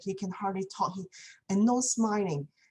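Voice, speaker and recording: A woman with a Chinese accent has a dark, mellow tone. Her voice is somewhat breathy, with ordinary pitch variation. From China. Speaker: community speaker. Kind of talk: talk. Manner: halting, many fillers.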